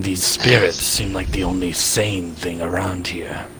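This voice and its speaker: A man uses a put-on character voice pitched very deep and low, speaking at a moderate pace. Background noise is clearly audible. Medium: machinima. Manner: curt, standoffish.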